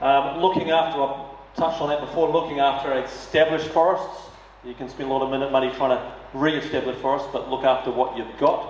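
There is audible room echo and light background noise as a man with a fairly high voice talks at a very fast pace with fairly even intonation. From New Zealand. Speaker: mayoral candidate; candidate. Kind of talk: candidate forum speech. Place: hall.

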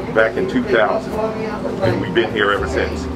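A man speaks while loud noise fills the background. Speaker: bakery owner. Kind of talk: interview answer. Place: kitchen.

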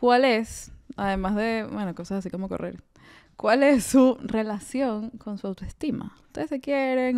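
Over a quiet background, a woman with a Venezuelan accent speaks fairly slowly in a fairly high pitch, with ordinary pitch variation. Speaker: podcast co-host. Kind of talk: casual chat. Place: home room. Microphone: studio mic.

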